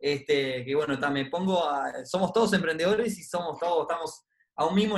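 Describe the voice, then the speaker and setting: In a Uruguayan accent, a man speaks at a moderate pace with a high pitch and ordinary pitch variation. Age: 30s. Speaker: investment club co-founder. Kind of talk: interview on personal finance.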